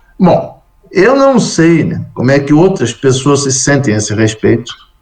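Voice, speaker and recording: Fairly high in pitch for a man, this is an unremarkable speaking voice with lively intonation and a fairly slow pace. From Brazil. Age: 60s. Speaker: Buddhist monk and scholar. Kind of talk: interview testimony.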